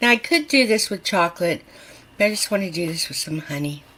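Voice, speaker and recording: A woman speaks at a medium pitch. Her tone is bright and sharp. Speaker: home cooking video host. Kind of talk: casual cooking tutorial. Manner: animated; whispering at times.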